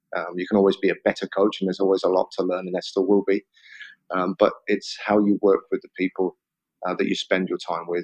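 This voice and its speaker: Fairly quick, monotone speech from a man with a southern English accent, fairly low in pitch, in a dry, close sound with no echo. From England, Oxford. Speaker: football head coach. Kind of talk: interview.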